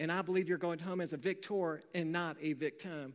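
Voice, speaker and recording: The recording is very clean, with a silent background. The pace is moderate and the pitch variation ordinary. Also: man. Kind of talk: sermon. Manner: earnest, rising preacher's cadence, declaring and exhorting.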